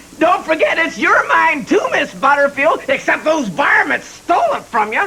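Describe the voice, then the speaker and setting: A high-pitched, put-on character voice drawls along at a moderate pace. Clear background noise sits behind it. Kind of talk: comic overacting. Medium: comedy sketch. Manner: folksy, hick drawl.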